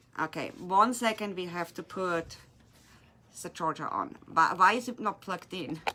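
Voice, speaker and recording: Big swings in loudness mark a woman's bright, sharp tone as she speaks at medium pitch and a moderate pace with a German accent and ordinary pitch variation. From Germany. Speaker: resin artist and craft shop owner. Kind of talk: tutorial. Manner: casual, slightly halting.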